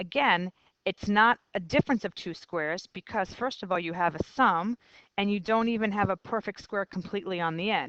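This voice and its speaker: A woman's plain, everyday voice at a medium pitch and moderate pace, ordinary pitch variation, a dry, close sound with no echo and a quiet background. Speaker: math teacher. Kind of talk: lecture.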